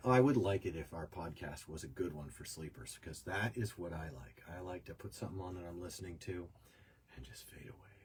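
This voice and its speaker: A man with an American accent speaks in a very deep, low voice with vocal fry and big swings in loudness. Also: lively intonation, fairly quick pace. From US, New York. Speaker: podcast host. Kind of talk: casual chat.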